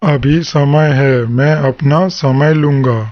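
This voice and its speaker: A man puts on a cartoonish character voice pitched fairly high. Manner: calm, patient.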